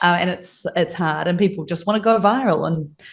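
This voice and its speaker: Using a normal speaking voice, a woman talks at a fairly quick pace, her pitch fairly low with ordinary variation. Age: 30s. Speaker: design agency owner. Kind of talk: interview. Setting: video call from a friend's office.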